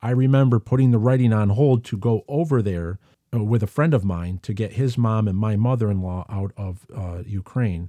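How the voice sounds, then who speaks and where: A man with an American accent, a dark, mellow tone and fairly low pitch, at a moderate pace with ordinary pitch variation, on a very clean recording with a silent background and a dry, close sound with no echo. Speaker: podcast host and author. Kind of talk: casual monologue podcast. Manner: enthusiastic, animated.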